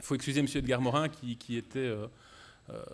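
A man at medium pitch, speaking at a moderate pace. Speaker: debate moderator. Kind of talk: moderated public debate. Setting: stage with audience.

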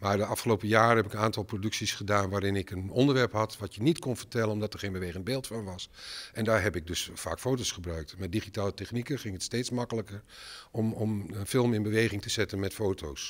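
A man's fairly low voice with ordinary pitch variation. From Netherlands, Enschede (Twente); Netherlands. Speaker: filmmaker. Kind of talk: interview. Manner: halting, many fillers and repetitions. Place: hall. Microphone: handheld.

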